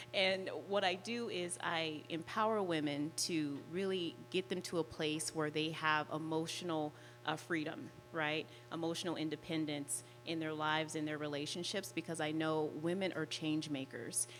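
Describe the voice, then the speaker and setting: Over music in the background, a woman with a very deep, low voice speaks at a moderate pace, her pitch varying in an ordinary way. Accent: American. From Las Vegas, Nevada. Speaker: life and relationship coach. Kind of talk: panel self-introduction.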